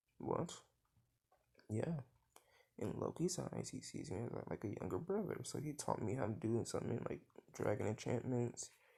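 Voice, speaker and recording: Speaking with vocal fry in a medium pitch, a man uses lively intonation and takes long, frequent pauses. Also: moderate pace. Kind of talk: improvised storytelling. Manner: halting.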